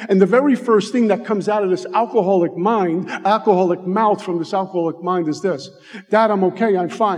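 An animated man with a New York accent, high in pitch, talking at a fairly quick pace over noticeable background noise. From Brooklyn, New York. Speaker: recovery speaker. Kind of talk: recovery testimony. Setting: stage with audience.

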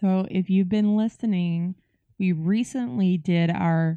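A woman talks in a fairly low voice with a dark, mellow tone and lively intonation. The sound is dry and close, with no echo. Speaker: podcast host. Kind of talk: casual chat.

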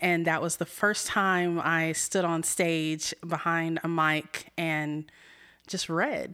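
A woman with an American accent, fairly low pitch and a bright, sharp tone, very slow pace and fairly even intonation, in a very clean recording with a silent background. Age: 30s. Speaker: community theater actress. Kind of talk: interview.

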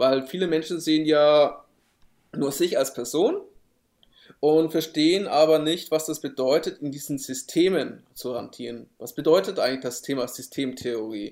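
A man at a moderate pace, with an unremarkable speaking voice, fairly high pitch and ordinary pitch variation. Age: 30s. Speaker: podcast co-host, digital marketer. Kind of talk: casual chat.

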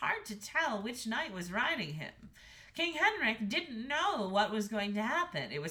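Someone does plain reading aloud.

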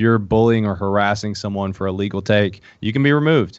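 A man's very fast, fairly low-pitched speech with an Appalachian accent. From Appalachia, eastern Kentucky. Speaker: founder of a hunting social app. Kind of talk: casual podcast interview.

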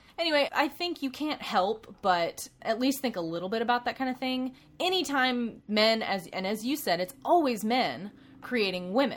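Over noticeable background noise, a woman with a high pitch and an American accent speaks at a moderate pace with very wide pitch swings. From US South. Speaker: podcast co-host. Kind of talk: casual chat.

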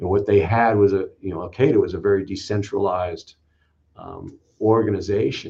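With an American accent, a man speaks in a fairly low, dark and mellow voice that is somewhat breathy, his intonation fairly even and his loudness swinging a lot. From US West Coast, Los Angeles area. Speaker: fire chief. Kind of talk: interview. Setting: video call.

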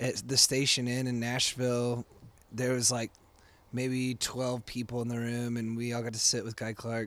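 A man speaks in a normal speaking voice, his medium pitch and fairly even intonation held at a moderate pace. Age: 30s. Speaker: musician and bar owner. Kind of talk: casual chat. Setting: recorded in a bar.

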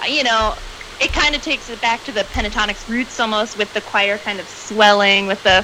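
Fairly high-pitched woman at a fairly quick pace, ordinary pitch variation, noticeable background noise. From US South, Atlanta, Georgia. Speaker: fan guest. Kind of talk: casual chat.

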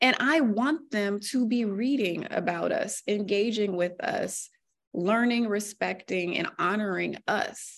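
A woman with an American accent uses an ordinary speaking voice at a medium pitch, speaking at a fairly slow pace with ordinary pitch variation. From US Mid-Atlantic (Virginia, DC area). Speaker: newspaper columnist. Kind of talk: casual interview.

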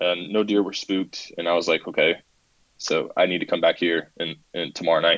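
A man is talking at a moderate pace. He has a Southern US accent. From South Carolina. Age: 20s. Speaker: hunter and Air Force veteran. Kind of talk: casual interview.

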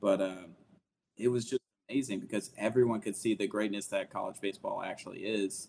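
A man with a Southern US accent, fairly low-pitched, at a fairly quick pace. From Alabama, US South. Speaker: sports podcaster. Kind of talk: casual chat. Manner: animated.

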